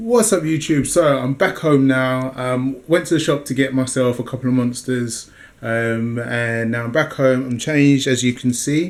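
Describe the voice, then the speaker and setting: Hardly pausing at all, a man talks in a British accent. His pitch sits in the medium range. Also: ordinary pitch variation. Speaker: fitness vlogger. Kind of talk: casual vlog. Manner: fast.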